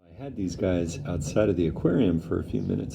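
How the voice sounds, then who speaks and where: With audible room echo, a man talks at a fairly quick pace in a very deep, low pitch. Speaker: hobbyist video maker. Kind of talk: casual vlog narration. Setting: outdoors in backyard. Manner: hesitant, many fillers; speaking softly.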